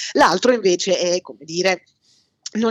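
Medium pitch and ordinary pitch movement in a woman's voice. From Milan, northern Italy. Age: 40s. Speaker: historian. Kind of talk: casual chat.

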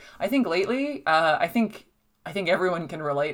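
Spoken at a moderate pace in a New Jersey accent, the voice shows ordinary pitch variation. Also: woman. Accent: New Jersey American. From US Northeast, New Jersey shore. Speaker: film critic. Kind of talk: casual chat. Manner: animated.

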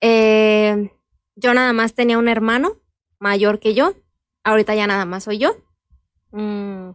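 Pausing long and often, a woman with a fairly high pitch speaks at a very slow pace with fairly even intonation in a dry, close sound with no echo. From Michoacán, Mexico. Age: 20s. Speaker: lawyer. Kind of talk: interview.

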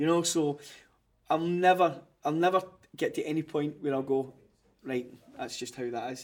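The speaker has a Glaswegian accent. Long pauses come frequently. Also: man, fairly high pitch for a man, ordinary pitch variation, moderate pace. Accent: Glaswegian Scottish. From Glasgow, Scotland. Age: 40s. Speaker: clothing brand founder. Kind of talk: casual interview chat. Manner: animated.

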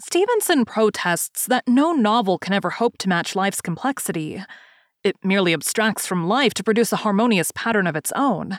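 With an unremarkable speaking voice, a woman at a medium pitch talks at a fairly quick pace with lively intonation, on a very clean recording with a silent background and a dry, close sound with no echo. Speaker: podcast host. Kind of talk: literary essay reading. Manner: measured, formal; steady, even-paced.

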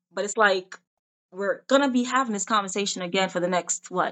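A woman speaks in a plain, everyday voice with an American accent. Her pace is moderate and her intonation fairly even. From Jamaica, then Pennsylvania from age 10. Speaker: actress and TV host. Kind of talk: casual chat.

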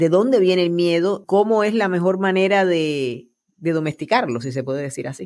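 Speaking at a moderate pace, a woman with an unremarkable speaking voice uses lively intonation at a fairly low pitch. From Puerto Rico. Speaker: podcast host. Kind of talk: interview conversation.

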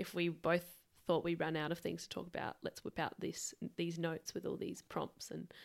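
A woman with an Australian accent keeps a moderate pace in a very clean recording, the background silent. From Adelaide, Australia. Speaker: podcast co-host. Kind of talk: casual chat. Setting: home studio.

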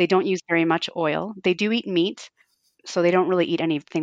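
A woman with a normal speaking voice, fairly low pitch, ordinary pitch variation and a fairly quick pace, in a Canadian accent, with a dry, close sound, no echo and a quiet background. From Canada, Fort Frances, Ontario. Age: 40s. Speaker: home cook and food Instagrammer. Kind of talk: casual interview.

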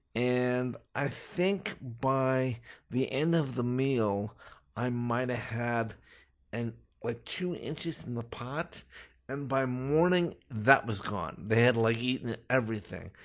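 A man with an American accent speaks very slowly at a medium pitch, his pitch varying in an ordinary way, against a quiet background. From Los Angeles, US. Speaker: self-taught chef. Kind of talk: interview. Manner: hesitant, many fillers.

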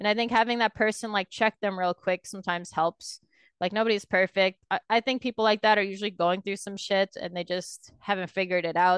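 A woman talks in a normal speaking voice at medium pitch and a fairly quick pace. Her intonation is fairly even, and the sound is dry and close with no echo. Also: quiet background. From Canada. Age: 20s. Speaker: professional esports player. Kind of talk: casual interview.

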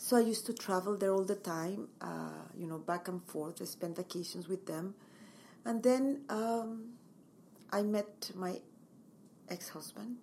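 Speaking fairly slowly with long, frequent pauses, a woman with a Mexican accent has a dark, mellow tone, a medium pitch and ordinary pitch variation. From Mexico. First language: Spanish. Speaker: interior designer and home stager. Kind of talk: interview.

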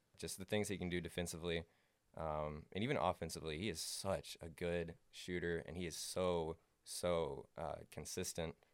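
In a very clean recording with a silent background, a man with an American accent speaks at a very deep, low pitch, at a moderate pace and with fairly even intonation. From Alabama (Huntsville). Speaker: student podcast co-host. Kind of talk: casual sports talk.

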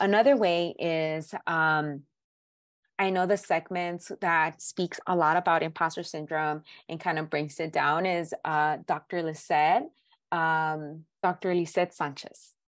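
A woman with an American accent speaks in a plain, everyday voice, fairly low in pitch, at a fairly slow pace with fairly even intonation against a quiet background. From South Central Los Angeles. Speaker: therapist. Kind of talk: interview.

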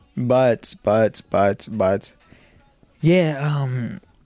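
A man is speaking. Music plays in the background. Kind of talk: casual chat. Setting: studio.

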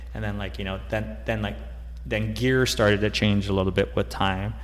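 A man's very deep, low voice with vocal fry, very wide pitch swings, a fairly quick pace and audible room echo. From Guam. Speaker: brand founder and jiu-jitsu practitioner. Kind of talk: casual interview.

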